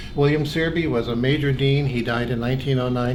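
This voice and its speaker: Talking at a fairly quick pace, a man with a medium-pitched voice and an American accent keeps a monotone, flat intonation, with noticeable background noise and audible room echo. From California. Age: 70s. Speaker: pharmacy school associate dean. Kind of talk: oral history recollection. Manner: hesitant with fillers.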